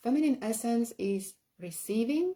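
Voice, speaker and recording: In a non-native accent, a woman speaks at a fairly slow pace, her voice somewhat breathy with a dark, mellow tone. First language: not English. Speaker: spiritual teacher. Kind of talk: live-streamed workshop talk. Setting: live stream. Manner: halting, many fillers.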